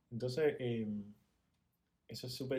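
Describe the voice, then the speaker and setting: This is a man speaking. He has a Spanish accent. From Cuba. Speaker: podcast guest, host's fiancé. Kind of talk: casual chat.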